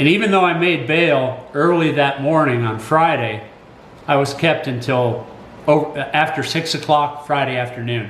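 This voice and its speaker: A man with a fairly high pitch and ordinary pitch variation talks through noticeable background noise and audible room echo. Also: moderate pace. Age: 60s. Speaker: college teacher and commentator. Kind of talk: personal commentary. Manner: halting.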